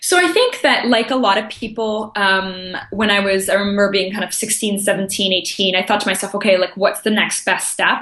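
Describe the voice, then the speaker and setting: With a slight American accent, a woman talks at a fairly quick pace and medium pitch in a monotone, flat intonation, with hardly any pauses over noticeable background noise. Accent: slight American twang. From grew up in Japan, Austria and Germany at international schools. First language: French. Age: 20s. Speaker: life coach. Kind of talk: podcast interview.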